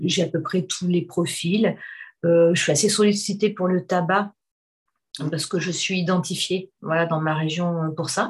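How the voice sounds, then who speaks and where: A woman's fairly low, somewhat breathy voice at a very slow pace, with fairly even intonation, over a quiet background. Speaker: hypnotherapist. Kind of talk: casual chat.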